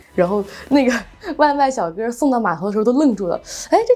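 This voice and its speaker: A woman talks at a fairly quick pace while music plays behind her. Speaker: ski instructor and surf business owner. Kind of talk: interview answer.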